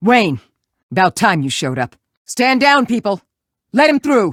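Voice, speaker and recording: A man uses a put-on character voice, pitched high, with very wide pitch swings. He speaks at a moderate pace. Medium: video game. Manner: gruff, curt.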